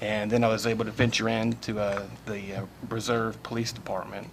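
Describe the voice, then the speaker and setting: A man's fairly low voice at a moderate pace, fairly even in intonation, over noticeable background noise. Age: 50s. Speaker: political candidate. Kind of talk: candidate forum statement.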